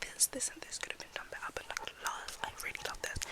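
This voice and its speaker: Noticeable background noise accompanies whispering delivered at a fairly quick pace. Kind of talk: ASMR rambling talk to camera. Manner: whispered.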